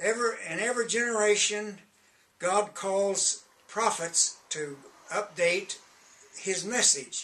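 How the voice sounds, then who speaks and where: A man's raised, projected voice at a high pitch, very slow with long, frequent pauses, over noticeable background noise. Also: ordinary pitch variation. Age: 80s+. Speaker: self-styled prophet and religious author. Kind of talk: direct-to-camera religious message promoting books. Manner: halting, frequent hesitations.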